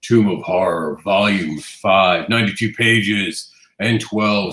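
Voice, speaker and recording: On a very clean recording with a silent background, a man uses a put-on character voice at a fairly slow pace. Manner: dramatic, ominous, horror-style.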